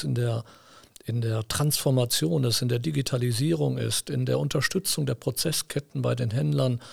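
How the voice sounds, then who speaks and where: A man's voice swings very widely in pitch. It sounds somewhat breathy. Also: dry, close sound with no echo. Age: 50s. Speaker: company executive. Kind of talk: interview. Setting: studio.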